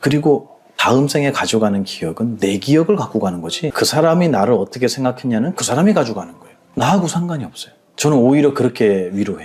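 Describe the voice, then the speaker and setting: The speech races at a very fast pace, with very wide pitch swings and big swings in loudness. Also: man, medium pitch for a man. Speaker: Buddhist monk. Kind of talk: interview conversation.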